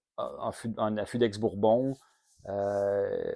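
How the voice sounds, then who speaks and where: A man with a Quebec accent speaks at a fairly low pitch in a dark, mellow tone and a monotone, flat intonation. The sound is dry and close with no echo, on a very clean recording with a silent background. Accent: Québécois French. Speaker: whisky reviewer, channel host. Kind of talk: product review monologue. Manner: casual, many hesitations.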